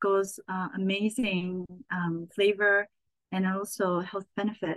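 A woman speaks very slowly at a medium pitch, in a Japanese accent. The sound is dry and close, with no echo. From Japan (Saitama, near Tokyo). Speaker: chef and cookbook author. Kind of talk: casual interview.

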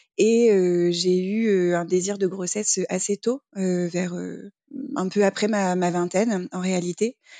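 Her pitch sits in the middle of a woman's range, with a dark, mellow tone and fairly even intonation. The woman speaks at a very slow pace in a dry, close sound with no echo. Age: 30s. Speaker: single mother by choice. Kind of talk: interview. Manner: hesitant, with filler sounds.

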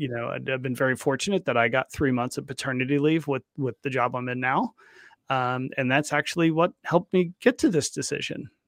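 A man with an unremarkable speaking voice talks at a fairly quick pace with medium pitch and ordinary pitch variation, the sound dry and close with no echo. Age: 50s. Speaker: podcast host. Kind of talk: podcast interview.

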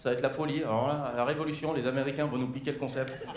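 A man talks with fairly even intonation. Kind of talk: stand-up comedy. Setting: stage with audience. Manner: irreverent, mock-casual delivery with audience interaction.

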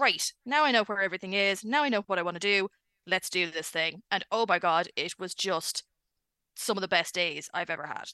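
Against a quiet background, a woman with an Irish accent and a bright, sharp tone speaks at a fairly quick pace, the sound dry and close with no echo. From Ireland. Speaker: pop culture website editor. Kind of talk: casual chat. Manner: animated.

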